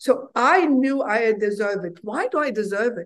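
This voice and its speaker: A woman talks at a fairly high pitch. Her pitch varies in an ordinary way. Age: 60s. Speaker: physician and health entrepreneur. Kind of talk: casual interview. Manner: animated.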